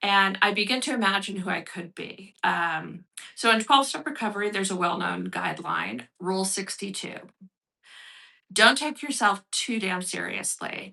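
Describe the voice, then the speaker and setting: A woman with a medium pitch and vocal fry speaks at a moderate pace with lively intonation, a bright, sharp tone and big swings in loudness. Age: 60s. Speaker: artist and recovery workshop leader. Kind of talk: workshop talk with reading aloud. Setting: livestream broadcast. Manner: hesitant, many fillers.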